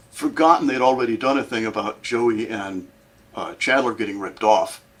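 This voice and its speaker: Against noticeable background noise, a man of medium pitch talks at a fairly quick pace with ordinary pitch variation. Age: 60s. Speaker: songwriter. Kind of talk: casual chat.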